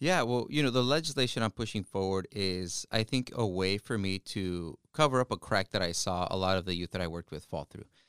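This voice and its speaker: A man with a Spanish accent, a fairly low pitch, lively intonation and hardly any pauses, dry and close with no echo on a very clean recording with a silent background. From Yakima Valley, Washington, US. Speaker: state legislator. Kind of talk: interview. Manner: halting.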